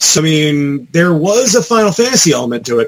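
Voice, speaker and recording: A man with an ordinary speaking voice, fairly high in pitch, at a moderate pace and with lively intonation. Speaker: podcast co-host. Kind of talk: casual podcast chat.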